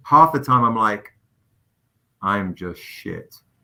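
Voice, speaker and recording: At a fairly slow pace, a man speaks in an animated, passionate, bright, sharp tone with lively intonation. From England. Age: 40s. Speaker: comic book publisher and writer. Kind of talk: casual interview chat.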